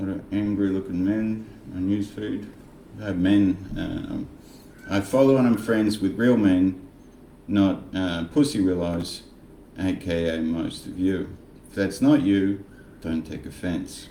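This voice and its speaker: In a room with audible echo, a man with a fairly low pitch and ordinary pitch variation speaks at a fairly slow pace with long, frequent pauses. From Australia, Frankston Victoria. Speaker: political commentary vlogger. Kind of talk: casual monologue vlog. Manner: animated, sarcastic.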